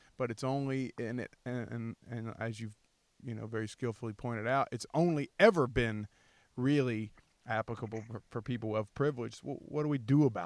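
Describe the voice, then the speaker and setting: A normal speaking voice moves at a moderate pace with big swings in loudness. The sound is dry and close with no echo, over a quiet background. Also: man, medium pitch for a man, ordinary pitch variation. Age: 30s. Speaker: podcast host. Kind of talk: casual interview.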